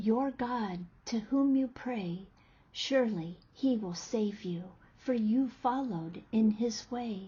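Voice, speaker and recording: A woman puts on a character voice with a fairly high pitch. She goes at a fairly slow pace with ordinary pitch variation. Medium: read story.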